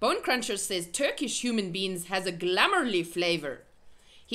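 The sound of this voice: Lively intonation marks an unforced reading voice.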